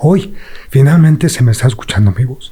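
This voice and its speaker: At a fairly slow pace, a man talks in a dark, mellow tone at a medium pitch, somewhat breathy, with ordinary pitch variation. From Mexico City. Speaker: former prisoner. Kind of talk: interview.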